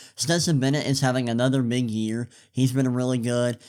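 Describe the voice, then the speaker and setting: A man speaks at a moderate pace in a medium pitch, with an unremarkable speaking voice on a very clean recording with a silent background. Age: 20s. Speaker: sports podcast host. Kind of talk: solo sports commentary podcast. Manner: casual, with fillers and repetitions.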